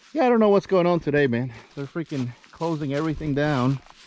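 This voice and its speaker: A man speaks fairly quickly with ordinary pitch variation while noticeable background noise sits behind him. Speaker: automotive YouTuber. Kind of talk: casual vlog narration while driving. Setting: in a car on a trail. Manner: casual, hesitant with fillers.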